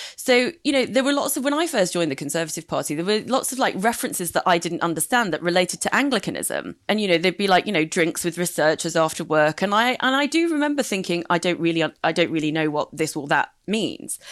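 A woman with a British accent talks at a very fast pace with hardly any pauses. Her medium-pitched voice swings very widely up and down. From UK, immigrant family background. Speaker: former political adviser. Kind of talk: casual chat.

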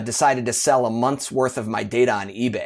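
A man speaks at medium pitch with an American accent. The recording is very clean with a silent background. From US. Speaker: marketing executive guest. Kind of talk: casual interview. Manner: fast talker; filler-heavy.

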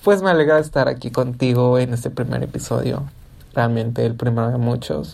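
This woman's pitch is very deep and low, her tone dark and mellow. She talks at a moderate pace with ordinary pitch variation. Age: 20s. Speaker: podcast host. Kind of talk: intimate solo podcast monologue.

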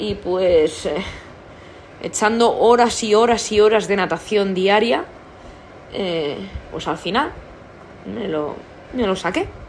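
A woman speaks at a very slow pace, with long, frequent pauses. Audible room echo fills the recording. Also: medium pitch for a woman, ordinary pitch variation. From Spain, Toledo province. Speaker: podcast host, sports professional. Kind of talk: casual monologue. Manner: halting, many repetitions.

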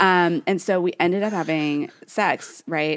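A very slow woman's voice in a Californian accent, with lively intonation and a dry, close sound with no echo. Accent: Californian Valley Girl. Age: 30s. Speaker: podcast co-host. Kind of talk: casual chat.

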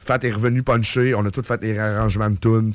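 Delivered very fast, the speech keeps a fairly even intonation. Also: man. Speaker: metal band musician. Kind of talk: casual interview.

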